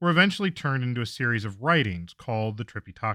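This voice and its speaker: A man of medium pitch speaks at a fairly quick pace with very wide pitch swings and a bright, sharp tone. The very clean recording has a silent background and a dry, close sound with no echo. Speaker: history podcast host. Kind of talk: scripted narration.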